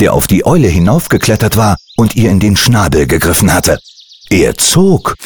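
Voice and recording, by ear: A natural voice, reading aloud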